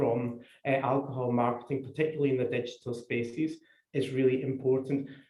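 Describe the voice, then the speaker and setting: A man with a Scottish accent, fairly high in pitch, somewhat breathy, with a dark, mellow tone and fairly even intonation. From Scotland. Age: old. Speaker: public health official. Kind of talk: seminar talk. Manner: halting, many repetitions.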